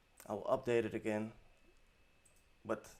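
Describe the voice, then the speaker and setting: A man speaks with a non-native accent. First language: not English. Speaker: web design tutorial creator. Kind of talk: tutorial. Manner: hesitant, many fillers; unscripted, off the top of head.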